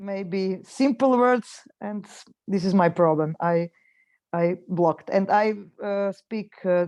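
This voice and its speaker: A woman with a Croatian accent talks at a fairly slow pace in a medium pitch with ordinary pitch variation. Her tone is dark and mellow, and the background is quiet. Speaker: webinar participant. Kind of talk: casual chat. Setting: video call. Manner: halting.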